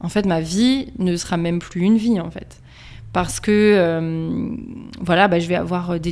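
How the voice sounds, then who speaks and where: A woman talks very slowly at a medium pitch, her pitch varying in an ordinary way. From eastern France, Strasbourg. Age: 30s. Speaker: endometriosis patient, HR manager. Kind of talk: testimony. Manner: halting, many fillers.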